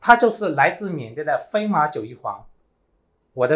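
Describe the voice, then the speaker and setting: A man with a fairly high pitch speaks at a moderate pace, his pitch swinging very widely, over a quiet background. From Myanmar. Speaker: network marketing team leader. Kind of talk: motivational seminar speech. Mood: grateful, earnest. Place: studio.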